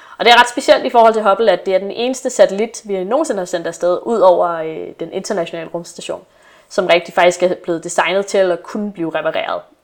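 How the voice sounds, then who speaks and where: Loudness rises and falls sharply throughout. The speech comes very fast with ordinary pitch variation. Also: woman, medium pitch for a woman. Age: 20s. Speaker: astronomy PhD student. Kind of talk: casual chat.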